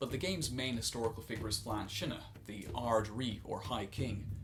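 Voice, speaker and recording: This man speaks at a fairly quick pace with an Irish accent. His pitch is medium, with ordinary variation. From Ireland. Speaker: former tour director. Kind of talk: video essay narration.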